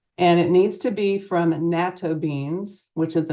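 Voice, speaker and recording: A woman in a normal speaking voice, fairly low-pitched, at a moderate pace. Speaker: nurse practitioner. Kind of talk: presentation.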